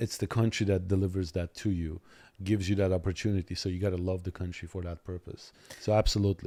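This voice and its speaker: A man speaks very fast in a very deep, low voice with a dark, mellow tone and flat, monotone intonation, recorded dry and close with no echo on a very clean track over a silent background. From Soviet Armenia. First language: Armenian. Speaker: lawyer. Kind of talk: podcast interview.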